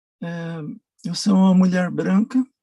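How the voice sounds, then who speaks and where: Somewhat breathy, with a dark, mellow tone, a woman talks at a very slow pace in a dry, close sound with no echo. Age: 60s. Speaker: documentary subject, retired military. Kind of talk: personal testimony. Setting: video call. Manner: halting.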